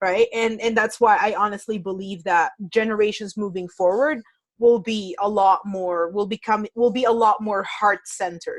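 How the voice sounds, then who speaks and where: A woman with a non-native accent talks at a moderate pace and a fairly high pitch, keeping her intonation fairly even and hardly pausing. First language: not English. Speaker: podcast host. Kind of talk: casual interview.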